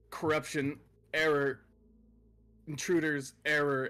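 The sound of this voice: Using a put-on character voice, a man speaks at a fairly slow pace with a fairly high pitch and monotone, flat intonation.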